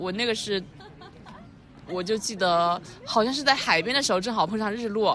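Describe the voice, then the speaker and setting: Over noticeable background noise, a woman with a fairly high pitch and ordinary pitch variation speaks at a moderate pace with long, frequent pauses. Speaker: podcast co-host. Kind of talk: casual chat. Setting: outdoor hilltop cafe.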